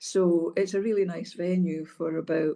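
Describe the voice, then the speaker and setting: A woman speaks with a Hebridean accent in a dark, mellow tone. Her pitch is fairly low, with ordinary variation. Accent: Scottish Hebridean. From North Uist, Scotland. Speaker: former senior civil servant and social work professional. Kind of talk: interview answer.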